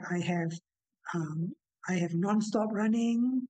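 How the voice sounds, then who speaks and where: A man's high-pitched voice, dark and mellow in tone, with ordinary pitch variation at a moderate pace, dry with no echo, against a quiet background. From Singapore. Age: 80s+. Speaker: retired teacher and athlete. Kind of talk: interview answer. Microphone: video call.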